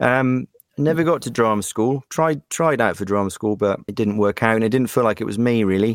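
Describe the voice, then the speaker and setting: A man with a British accent talks at a fairly quick pace and medium pitch with ordinary pitch variation, in a dry, close sound with no echo. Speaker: voice actor. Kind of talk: casual interview.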